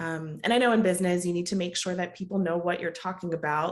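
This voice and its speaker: A woman talks with an American accent at a fairly low pitch. Her intonation stays fairly even. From US, Jamaican mother, childhood visits to Jamaica. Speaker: project management coach, business owner. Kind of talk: podcast interview.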